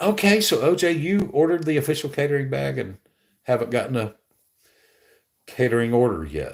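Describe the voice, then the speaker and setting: This man speaks with a Southern US accent. His intonation is lively and his pace moderate. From Alabama. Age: 60s. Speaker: gig delivery streamer. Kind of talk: live stream chat. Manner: casual, conversational.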